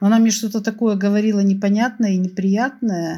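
With a dark, mellow tone at medium pitch, a woman speaks at a moderate pace on a very clean recording with a silent background. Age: 60s. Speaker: opera fan telling a personal story. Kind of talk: personal storytelling.

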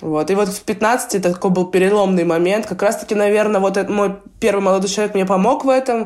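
At a fairly quick pace, a woman with an unremarkable speaking voice talks at medium pitch and fairly even intonation. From Russia, Belgorod region. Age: 20s. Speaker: professional basketball player. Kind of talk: interview, casual chat.

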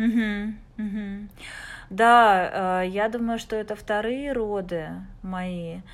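A woman speaks at a very slow pace with fairly even intonation, leaving long, frequent pauses. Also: medium pitch for a woman. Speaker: mother sharing birth story. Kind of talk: casual chat. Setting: video call.

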